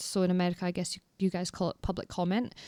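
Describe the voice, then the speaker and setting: A woman speaks in a dry, close recording with no echo, very clean and with a silent background. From Scotland, northeast (between Aberdeen and Inverness). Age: 20s. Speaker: folk singer. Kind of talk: podcast interview. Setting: in person, after a house concert.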